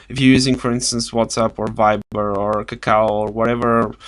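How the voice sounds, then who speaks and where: A man speaks at a medium pitch with a Bulgarian accent. His intonation is monotone and flat, and his pace is moderate. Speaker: video blogger. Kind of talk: casual vlog talk. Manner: halting, many fillers and restarts.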